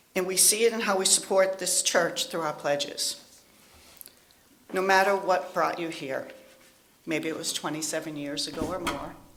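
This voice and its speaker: Noticeable background noise sits under speech delivered at a moderate pace with fairly even intonation. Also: woman, long, frequent pauses. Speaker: lay minister, congregation member. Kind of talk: testimony.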